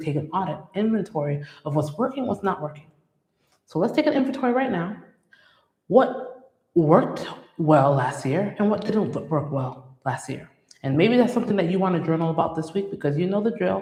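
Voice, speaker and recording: Very wide pitch swings at a fairly quick pace, with audible room echo. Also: woman, fairly low pitch for a woman. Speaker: licensed clinical social worker hosting a faith-based parenting show. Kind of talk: motivational talk. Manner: fast; sometimes trips over words.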